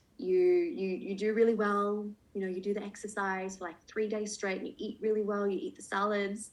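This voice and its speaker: A woman speaks at a fairly quick pace in a normal speaking voice, her pitch medium with ordinary variation. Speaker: coach. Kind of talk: online workshop.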